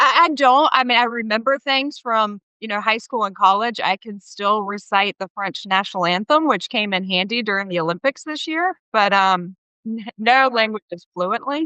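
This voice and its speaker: With hardly any pauses, a woman with a Southern US accent talks in a fairly high pitch. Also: moderate pace. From US South, small-town North Carolina. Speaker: company CFO. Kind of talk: interview.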